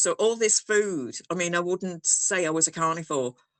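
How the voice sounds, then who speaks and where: Here is a woman with a northern English accent. Her pitch is medium, with ordinary pitch variation. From northern England. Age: 60s. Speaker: programme member. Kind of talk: casual chat.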